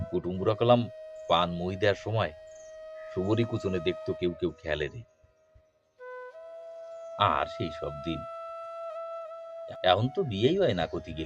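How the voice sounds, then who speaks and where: With music in the background, a man with a Khulna accent speaks in a very deep, low pitch with ordinary pitch variation. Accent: Bagerhat regional dialect. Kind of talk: poetry reading.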